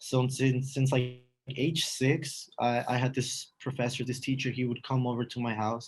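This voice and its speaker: A somewhat breathy male voice of medium pitch, moderate in pace, with monotone, flat intonation. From northern Mexico, Matamoros (Tamaulipas border). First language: Spanish. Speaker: university student. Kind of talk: casual interview.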